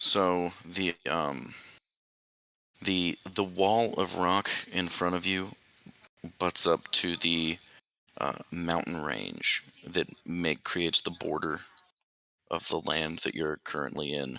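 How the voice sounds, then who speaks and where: A man uses a raspy, put-on character voice with a very deep, low pitch and fairly even intonation. He talks at a fairly slow pace with long, frequent pauses, on a very clean recording with a silent background. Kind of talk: tabletop game narration. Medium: actual play. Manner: halting, filler-heavy, casual.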